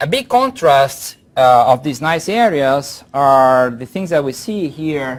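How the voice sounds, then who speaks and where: A man with a strong Brazilian accent speaks at a fairly slow pace. His pitch is fairly high, with ordinary variation. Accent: heavy Brazilian Portuguese. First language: Portuguese. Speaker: professor. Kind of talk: lecture.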